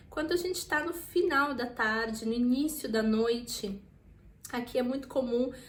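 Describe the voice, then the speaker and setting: A woman's high voice moves very slowly through a space with audible room echo. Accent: Brazilian. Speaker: vlogger. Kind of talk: casual tutorial. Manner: informal, chatty with frequent fillers.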